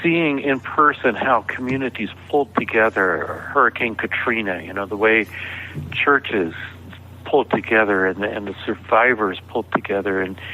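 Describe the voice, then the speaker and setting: A man with an American accent talks at a moderate pace in a fairly low pitch. His pitch variation is ordinary, and there is noticeable background noise. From US South (Georgia). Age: 60s. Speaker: author. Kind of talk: interview conversation.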